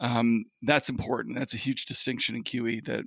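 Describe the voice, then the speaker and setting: This man speaks at a medium pitch with vocal fry. The sound is dry and close with no echo, on a very clean recording with a silent background. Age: 40s. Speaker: independent financial analyst. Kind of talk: interview. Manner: halting, with many fillers.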